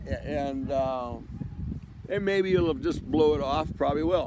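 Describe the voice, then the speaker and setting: A man with a fairly high pitch, noticeable background noise and audible room echo. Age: 70s. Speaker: vlogger with ALS. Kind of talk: casual monologue. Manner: halting, many repetitions.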